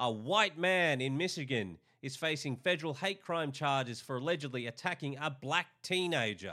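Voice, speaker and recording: An angry, bright and sharp voice with an Australian accent, moderate pace, lively intonation and hardly any pauses, on a very clean recording with a silent background. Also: man, fairly high pitch for a man. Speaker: video commentator. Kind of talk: angry rant. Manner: angry, sarcastic; emphatic, repetitive.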